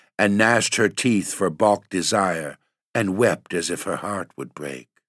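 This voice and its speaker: At a fairly slow pace, a man with a normal speaking voice talks with ordinary pitch variation in a dry, close sound with no echo, on a very clean recording with a silent background. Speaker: poem reader and podcast host. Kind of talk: dramatic poem performance, read aloud as spooky storytelling.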